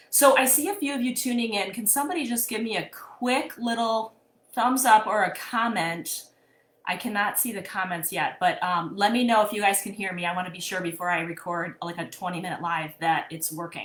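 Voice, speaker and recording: A woman's medium-pitched, lively speech at a fairly quick pace. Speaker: therapist and coach. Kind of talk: live-streamed mini workshop. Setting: live video stream. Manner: casual, conversational with fillers.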